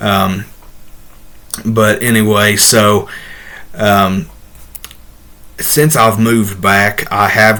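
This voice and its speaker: Over noticeable background noise, a man talks with a slight Southern US accent. His pitch is fairly low and his intonation monotone and flat. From Ohio, US Midwest. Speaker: ordained minister and video host. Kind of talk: casual Q&A talk to camera. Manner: halting, many fillers.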